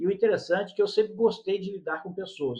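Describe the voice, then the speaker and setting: A man talks at a fairly quick pace. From Brazil, Rio de Janeiro state and São Paulo. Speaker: leadership mentor and speaker. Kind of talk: interview conversation.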